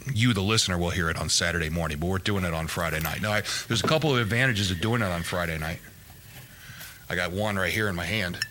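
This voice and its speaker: A man with a very deep, low pitch and ordinary pitch variation speaks at a very fast pace, with audible room echo and noticeable background noise. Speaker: horse racing podcast co-host and wrestling coach. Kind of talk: casual chat.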